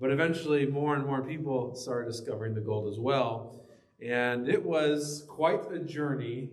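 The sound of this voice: The speaker reads in an unforced reading voice, and the pitch moves in an ordinary way.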